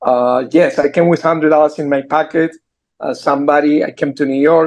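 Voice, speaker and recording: A man with a strong Argentine accent, fairly high pitch and fairly even intonation. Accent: heavy Argentine Spanish. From Argentina. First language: Spanish. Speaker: entrepreneur. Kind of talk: interview. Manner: halting.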